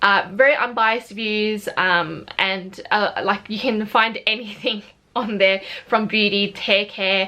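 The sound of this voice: A woman with an Australian accent, bright and sharp in tone, medium in pitch, fairly slow, with few pauses and fairly even intonation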